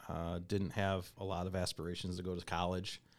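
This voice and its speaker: A man with a Midwestern American accent speaks with a very deep, low pitch. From Michigan, US Midwest. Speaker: podcast host. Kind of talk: casual interview chat.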